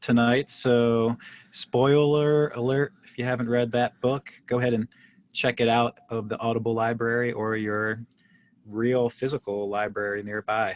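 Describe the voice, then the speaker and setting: This man speaks at a medium pitch and a fairly slow pace, his intonation flat and monotone. The sound is dry and close, with no echo. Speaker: podcast host. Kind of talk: casual chat.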